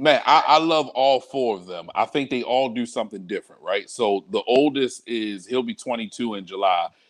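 A man with a normal speaking voice and medium pitch talks at a moderate pace with ordinary pitch variation and big swings in loudness. The sound is dry and close with no echo, over a quiet background. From Baltimore, Maryland (Northeast Baltimore). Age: 30s. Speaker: pastor. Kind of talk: casual interview.

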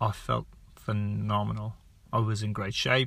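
A man with an Irish accent at a very slow pace. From Ireland. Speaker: podcast host, sports nutrition. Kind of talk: casual monologue. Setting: in a car. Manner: conversational, unscripted.

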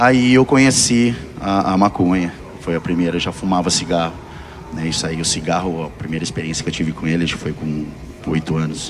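A man's very deep, low voice with lively intonation at a fairly quick pace, music playing in the background. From Piracicaba, São Paulo state, Brazil. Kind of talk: testimony.

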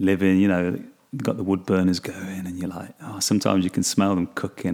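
A man with an English Midlands accent speaks at a very deep, low pitch. His delivery is fairly quick and monotone, with flat intonation. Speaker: podcast host. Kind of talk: casual monologue. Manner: halting.

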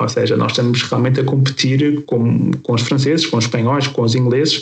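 This man sounds somewhat breathy, with a medium pitch. He keeps a fairly quick pace and fairly even intonation. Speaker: podcast host, health professional. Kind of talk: podcast discussion.

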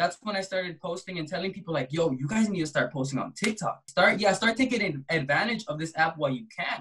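Speaking in an American accent, a man projects a raised, bright and sharp voice at a high pitch, with lively intonation, a fairly quick pace and hardly any pauses. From US West Coast (Compton, California). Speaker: artist and social media creator. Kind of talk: casual interview chat.

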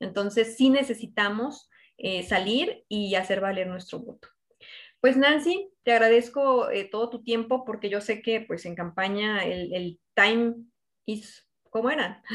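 A woman talks at a fairly slow pace with a fairly high pitch, ordinary pitch variation and big swings in loudness, in an ordinary speaking voice. The recording is very clean, with a silent background. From Mexico, Zacatecas. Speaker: podcast host, political interviewer. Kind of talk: interview.

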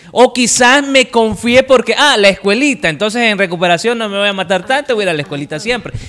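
Speaking very fast with hardly any pauses, a man uses lively intonation over noticeable background noise. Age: 30s. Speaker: radio presenter. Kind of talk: casual chat.

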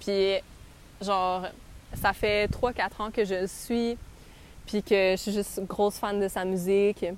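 A woman's flat, monotone voice at a very slow pace, with long, frequent pauses. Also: medium pitch for a woman. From Quebec, Montreal. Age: 20s. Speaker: podcast host. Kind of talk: casual travel storytelling. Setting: outdoors in a park.

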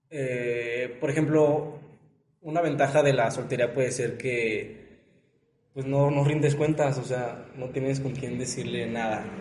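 A man speaks with a slight León accent at a fairly slow pace. Room echo is audible. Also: medium pitch for a man. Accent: León sing-song accent, slight. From León, Guanajuato, Mexico. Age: 20s. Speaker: law student. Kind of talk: casual chat.

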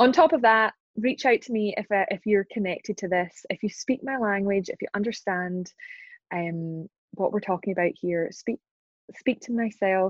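In a Scottish accent, a woman of medium pitch speaks at a fairly slow pace with ordinary pitch variation. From Glasgow, Scotland. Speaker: entrepreneur and business advisor. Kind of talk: interview.

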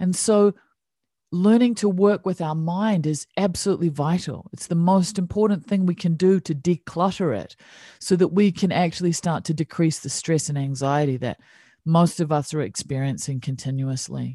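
Against a quiet background, a woman with a New Zealand accent speaks at a moderate pace with a fairly low pitch, ordinary pitch variation and a dark, mellow tone. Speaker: meditation teacher. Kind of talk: casual interview chat. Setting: video call.

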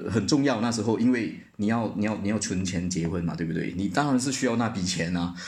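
Pitched fairly low, a man talks very fast with hardly any pauses and ordinary pitch variation, with room echo audible around him. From Malaysia. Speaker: sales manager. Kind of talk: casual interview chat.

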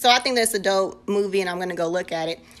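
The speaker has an animated tone. Noticeable background noise runs through the clip. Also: woman. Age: 20s. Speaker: podcast host. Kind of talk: casual chat.

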